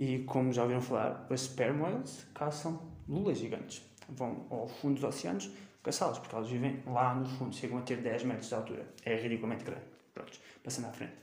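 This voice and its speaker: A man speaks with a European Portuguese accent at medium pitch and ordinary pitch variation. Audible room echo and noticeable background noise fill the recording. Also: fairly quick pace. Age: 20s. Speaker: podcast host, university student. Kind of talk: solo educational podcast monologue. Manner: hesitant, with fillers.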